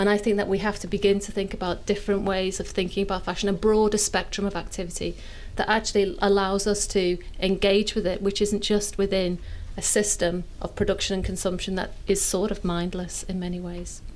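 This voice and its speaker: In a Liverpool accent, a woman talks at a fairly quick pace and medium pitch. Her intonation is monotone and flat. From northern England, inner city Liverpool. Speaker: sustainable fashion academic, panelist. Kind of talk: panel discussion.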